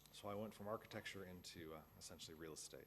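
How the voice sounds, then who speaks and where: A man's voice in an American accent, with ordinary pitch variation. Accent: American accent, noticeable in New Zealand. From US Midwest, Chicago suburbs. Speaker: university lecturer. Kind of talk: lecture. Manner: casual, many fillers.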